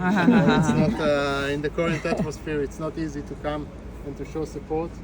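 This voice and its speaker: Speech at a moderate pace comes with noticeable background noise and audible room echo. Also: man. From Israel (southern kibbutz near Gaza). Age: 30s. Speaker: kibbutz resident giving a tour. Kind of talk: testimony / guided tour talk. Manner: halting, many fillers.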